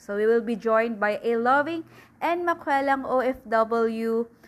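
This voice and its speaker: A woman with a Filipino accent speaks in a high voice at a very slow pace. The recording is very clean, with a silent background. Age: 20s. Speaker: podcast host. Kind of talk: casual chat.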